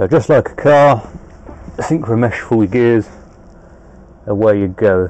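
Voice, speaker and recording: Fairly slow speech from a man. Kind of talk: tutorial. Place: car. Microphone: phone near.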